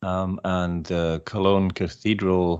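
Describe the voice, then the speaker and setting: A man with a German accent speaks at a very deep, low pitch over a quiet background. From Germany. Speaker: political video maker. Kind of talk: podcast interview. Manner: halting.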